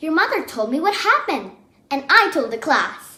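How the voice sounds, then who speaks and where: A woman puts on a squeaky character voice at an extremely high pitch, swinging very widely up and down at a moderate pace. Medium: read story. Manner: gentle, patient.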